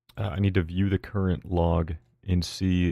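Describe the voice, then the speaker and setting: A man speaks quietly in a relaxed, dark, mellow tone with a very deep, low pitch and fairly even intonation. The recording is very clean with a silent background. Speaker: live streamer. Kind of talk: casual live gaming stream chat. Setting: streaming from home while partner sleeps. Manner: quiet, relaxed.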